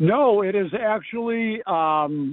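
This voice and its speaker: High-pitched male speech with ordinary pitch variation. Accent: American. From US Midwest. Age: 70s. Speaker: caller. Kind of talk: radio call-in question. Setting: phone call.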